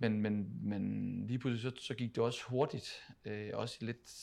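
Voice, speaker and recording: This is a man speaking at a medium pitch. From Denmark, Funen (Odense). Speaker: professional footballer, team captain. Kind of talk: interview conversation. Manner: halting, many repetitions.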